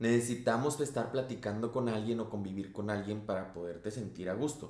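With a Mexican accent, a man talks at a moderate pace amid audible room echo. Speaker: podcast co-host. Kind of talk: casual chat.

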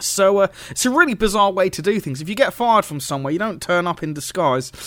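This man, with a British accent, talks at a very fast pace. His tone is bright and sharp, with ordinary pitch variation. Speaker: wrestling radio host. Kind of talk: radio show commentary. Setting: radio studio broadcast. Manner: casual, hesitant, filler-heavy.

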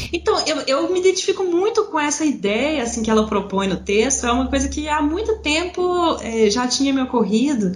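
Against noticeable background noise, a woman with a high pitch and very wide pitch swings talks at a moderate pace with hardly any pauses. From Brazil, Belo Horizonte (Minas Gerais). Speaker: writer and freelance proofreader, former university lecturer. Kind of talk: casual conversation. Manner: halting, with repetitions and fillers.

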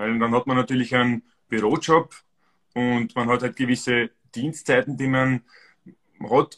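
With an Austrian accent, a man speaks at medium pitch and a moderate pace in a dry, close sound with no echo. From Austria, Styria. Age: 40s. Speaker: amateur runner. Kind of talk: casual chat.

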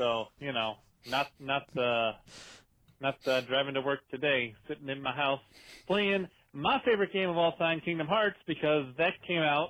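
The speaker has a plain, everyday voice. The pace is moderate and the pitch variation ordinary. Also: man, fairly high pitch for a man. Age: young. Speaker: recurring caller with updates. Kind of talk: recorded phone message. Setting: phone call from home. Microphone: sounds better than usual.

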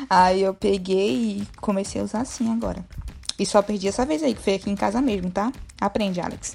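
At a fairly quick pace, a woman with a medium pitch and ordinary pitch variation uses a plain, everyday voice. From Bahia, Brazil. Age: 20s. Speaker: podcast co-host. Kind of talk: casual chat.

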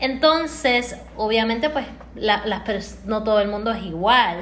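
A woman speaks with a fairly high pitch and ordinary pitch variation. Audible room echo surrounds her voice. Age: 30s. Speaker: entrepreneur and co-host. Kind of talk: motivational live stream talk.

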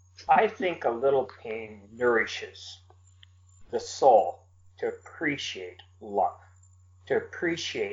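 A man with an American accent. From US Midwest. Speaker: poet. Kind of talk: interview.

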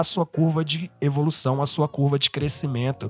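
Here a man talks at a moderate pace. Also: dry, close sound with no echo. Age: 20s. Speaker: solo podcaster. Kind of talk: personal monologue.

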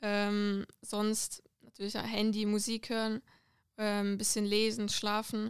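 The woman's fairly high voice moves very slowly in a monotone, flat intonation. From Switzerland, Lucerne. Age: 20s. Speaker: footballer. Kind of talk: casual interview. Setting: studio.

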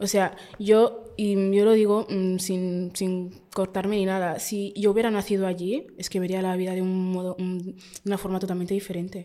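A woman's dark, mellow tone at medium pitch, monotone, flat intonation and a moderate pace. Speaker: podcaster. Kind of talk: interview.

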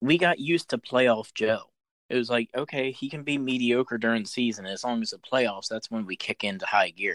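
A man with an American accent and an ordinary speaking voice talks at a moderate pace and medium pitch with ordinary pitch variation, in a dry, close sound with no echo. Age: 30s. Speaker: sports podcast host. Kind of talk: casual chat.

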